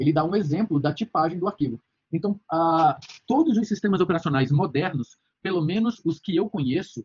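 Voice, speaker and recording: Lively intonation marks this man's speech. His voice is high in pitch. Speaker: university lecturer. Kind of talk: lecture. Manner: fast; halting, many fillers.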